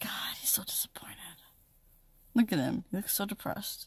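A moderate pace with a dry sound and no echo. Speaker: travel vlogger. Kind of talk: casual vlog chat. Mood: joking, sarcastic. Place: car. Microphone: phone near.

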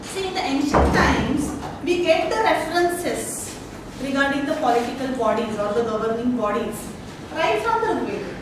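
A woman talks at a high pitch. Strong room echo and noticeable background noise are present. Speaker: lecturer. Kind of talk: lecture. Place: classroom. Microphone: camera far.

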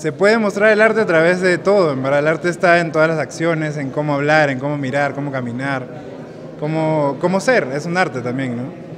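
Fairly quick speech with ordinary pitch variation over noticeable background noise. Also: man, fairly high pitch for a man. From Peru, Lima; Peru. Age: young. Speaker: photographer. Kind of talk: interview. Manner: halting. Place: hall. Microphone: phone near.

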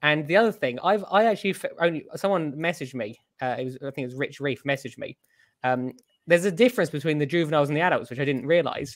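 A man with a British accent talks very fast at a fairly high pitch, with lively intonation. The background is quiet. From UK. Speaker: coral shop owner; co-host of aquarium show. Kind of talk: casual chat. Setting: video call.

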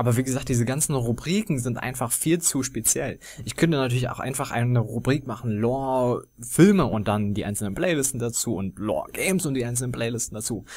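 An unremarkable speaking voice from a man, medium in pitch with ordinary pitch variation, at a fairly quick pace with hardly any pauses. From Germany. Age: 20s. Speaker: gaming YouTuber. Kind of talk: casual Q&A monologue.

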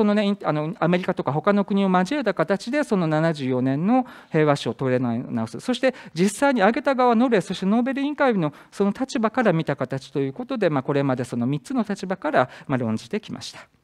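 Over a quiet background, a man with a high pitch speaks at a fairly quick pace with hardly any pauses. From Japan. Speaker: university professor. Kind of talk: conference presentation. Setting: conference hall with audience. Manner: hesitant, many fillers. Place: hall.

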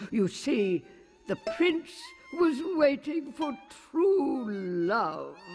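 With music in the background, a woman speaks at a very slow pace using very wide pitch swings. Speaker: voice actor. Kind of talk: cartoon narration. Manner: playful, chatty storyteller.

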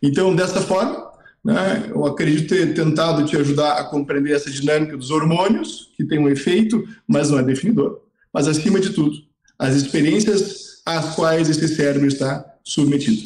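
A man with a fairly high pitch speaks in a normal speaking voice, with ordinary pitch variation at a moderate pace. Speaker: psychiatrist. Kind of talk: expert explanation. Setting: video call. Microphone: poor audio with long delay.

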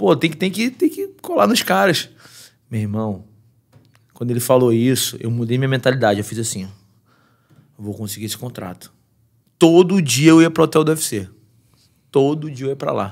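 Over a quiet background, a man speaks at a moderate pace with lively intonation and big swings in loudness. He leaves long, frequent pauses. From Brazil. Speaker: MMA fighter; podcast guest. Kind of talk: casual chat. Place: studio. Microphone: studio mic.

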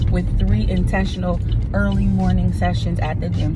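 A woman speaks over clear music in the background. The sound is dry, with no echo. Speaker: vlogger. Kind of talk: casual vlog chat. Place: car. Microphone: phone near.

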